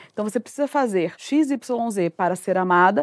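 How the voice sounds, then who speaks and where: The recording is dry and close with no echo as a woman with an ordinary speaking voice talks at a moderate pace with lively intonation. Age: 30s. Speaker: psychoanalyst and communicator. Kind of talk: casual chat. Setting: home sofa, video.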